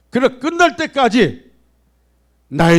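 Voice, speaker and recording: This man's pitch swings very widely, and the recording is very clean with a silent background. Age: 60s. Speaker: pastor. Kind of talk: sermon. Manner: animated.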